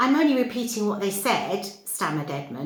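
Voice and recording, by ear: Reading aloud, the speaker uses a natural voice.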